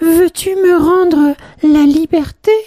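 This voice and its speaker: An extremely high-pitched put-on character voice at a fairly slow pace. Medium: read story. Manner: soft, gentle.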